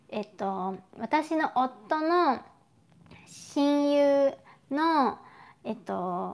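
At a very slow pace, a woman talks with lively intonation, big swings in loudness, and long, frequent pauses. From Japan. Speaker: YouTuber. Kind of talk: live stream chat. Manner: casual, chatty. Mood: friendly, cheerful. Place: home room. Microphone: lapel.

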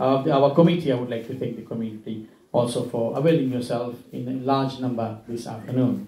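In a room with audible echo, a man talks at a fairly quick pace with hardly any pauses. His intonation stays fairly even. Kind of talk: formal public address. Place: classroom.

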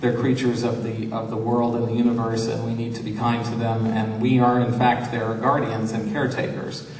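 The speech comes at a moderate pace with monotone, flat intonation, audible room echo and light background noise. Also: man. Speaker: panelist. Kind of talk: seminar talk. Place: hall.

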